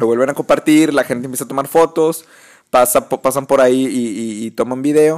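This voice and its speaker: A man speaks with a Mexican accent. His pace is fairly quick. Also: medium pitch for a man, fairly even intonation. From Mexico. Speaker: podcast host. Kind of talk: casual chat.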